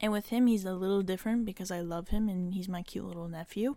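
In an ordinary speaking voice with fairly even intonation, the speaker is heard on a very clean recording with a silent background. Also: woman. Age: 20s. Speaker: solo podcast host. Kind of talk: casual personal monologue. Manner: casual, with filler words and laughs.

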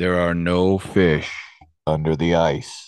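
Putting on a character voice, a man booms at a fairly slow pace in a very deep, low pitch with monotone, flat intonation. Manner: authoritative.

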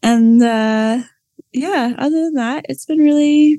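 Her voice is high in pitch with a dark, mellow tone, as a woman talks at a very slow pace with ordinary pitch variation and a dry, close sound with no echo. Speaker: podcast co-host. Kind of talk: casual chat. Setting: Zoom call. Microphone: laptop, no microphone.

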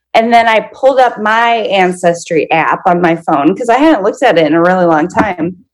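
Speaking at a fairly quick pace, a woman lets her pitch swing very widely. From Minnesota. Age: 30s. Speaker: podcast guest sharing her story. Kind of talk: personal testimony in an interview.

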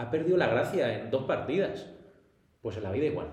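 Audible echo from the room, plus noticeable noise in the background. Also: man. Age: 20s. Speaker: personal trainer. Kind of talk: casual interview. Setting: gym studio.

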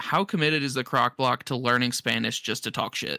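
On a very clean recording with a silent background, a man speaks at a moderate pace and medium pitch, the sound dry and close with no echo. His tone is bright and sharp, with vocal fry. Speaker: podcast co-host. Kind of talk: casual chat.

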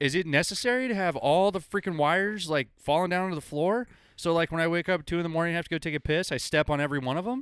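In a very clean recording with a silent background, a man talks loudly at a very fast pace, his high voice showing ordinary pitch variation. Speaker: podcast host. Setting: studio with mics.

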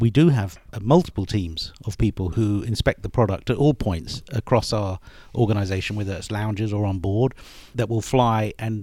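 Speaking fairly quickly with a British accent, a man has a fairly low, dark, mellow tone with ordinary pitch variation, in a very clean recording with a silent background. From United Kingdom. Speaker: airline executive. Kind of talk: interview.

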